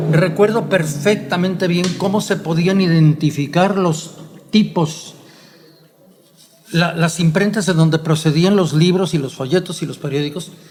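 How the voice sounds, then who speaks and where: Over noticeable background noise and audible room echo, a man with a high pitch talks at a fairly slow pace and with fairly even intonation. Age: 70s. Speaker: historian. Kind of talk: conversational lecture. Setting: print shop. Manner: formal.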